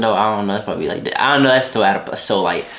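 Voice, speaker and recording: This man's fairly low voice carries ordinary pitch variation, with audible room echo and noticeable background noise. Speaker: reaction youtuber. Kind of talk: casual chat. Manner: fast.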